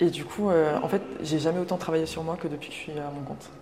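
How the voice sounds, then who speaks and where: A woman talks at a fairly quick pace in a very deep, low pitch. Noticeable background noise runs behind her. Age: 30s. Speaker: travel agency founder. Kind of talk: casual interview. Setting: museum exhibition in Nantes.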